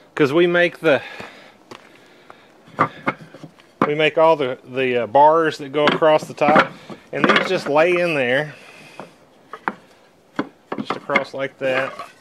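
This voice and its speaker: Over loud background noise, a man speaks at a very slow pace with long, frequent pauses. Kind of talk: tutorial. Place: garden. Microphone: phone near.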